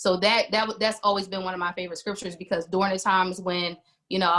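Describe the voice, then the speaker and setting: Talking at a very fast pace, a woman with an American accent has a bright, sharp tone, medium pitch and fairly even intonation. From New Jersey. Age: 40s. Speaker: singer and worship leader. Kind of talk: interview.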